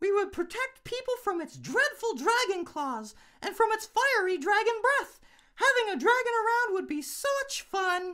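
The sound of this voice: In a put-on character voice with an extremely high pitch, a man talks at a moderate pace on a very clean recording with a silent background.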